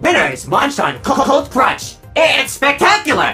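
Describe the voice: In a put-on character voice, a man speaks slowly at an extremely high pitch with very wide swings, his bright, sharp tone robotic and processed, over faint background music.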